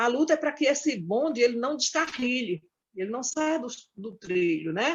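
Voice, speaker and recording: Speaking at a moderate pace, a high-pitched woman makes very wide pitch swings. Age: 60s. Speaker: domestic workers' union leader. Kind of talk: panel debate talk. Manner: halting, with frequent fillers.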